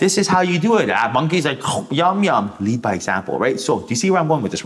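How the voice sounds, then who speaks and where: The man's pitch swings very widely and his tone is animated. Noticeable background noise can be heard. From war-torn country, came as refugee. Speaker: tarot reader. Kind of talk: tarot reading monologue. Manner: fast.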